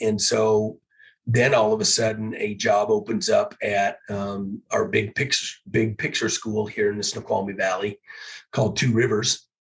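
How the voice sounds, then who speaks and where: Somewhat breathy, a man with an American accent speaks at a fairly low pitch and fairly slow pace, his intonation fairly even. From US Pacific Northwest. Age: 60s. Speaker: teacher and football coach. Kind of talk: interview conversation. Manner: hesitant, many fillers.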